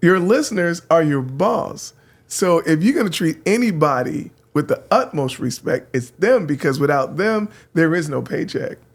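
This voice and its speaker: Using lively intonation, a man with an American accent speaks at a high pitch. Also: moderate pace. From San Francisco, California. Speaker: radio host. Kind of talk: casual chat.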